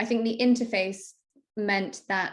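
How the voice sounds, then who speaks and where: A woman with a British accent and ordinary pitch variation, in a very clean recording with a silent background. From UK. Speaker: marketing strategist. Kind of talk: casual interview chat.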